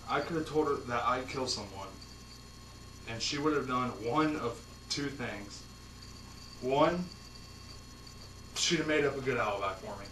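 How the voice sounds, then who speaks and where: A man with an American accent and a fairly high pitch talks with ordinary pitch variation and long, frequent pauses. Noticeable background noise runs throughout. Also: moderate pace. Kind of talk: tribute speech at a public speaking event.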